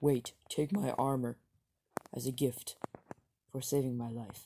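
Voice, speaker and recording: Fairly slow delivery from a man at medium pitch, with ordinary pitch variation. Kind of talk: amateur fan stop-motion voice acting. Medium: comedy sketch. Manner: earnest, remorseful, grateful.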